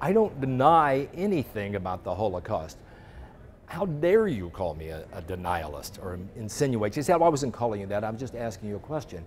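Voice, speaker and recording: Speaking at a fairly quick pace in an American accent, a man at a medium pitch makes very wide pitch swings and big swings in loudness. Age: 60s. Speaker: journalist. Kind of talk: interview. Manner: animated.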